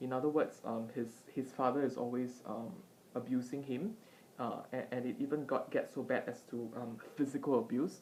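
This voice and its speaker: Soft-spoken, a woman talks with a very deep, low pitch and a dark, mellow tone. Her pace is moderate and her pitch varies in an ordinary way. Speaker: vlogger / tutor. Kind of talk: casual commentary. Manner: halting with many fillers. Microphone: iPad mic, poor audio quality.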